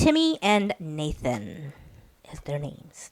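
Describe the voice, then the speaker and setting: Very slowly and with lively intonation, a woman with an American accent speaks, the sound dry and close with no echo. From US, Hmong American community. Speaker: podcast host. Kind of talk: casual chat. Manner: hesitant, many fillers.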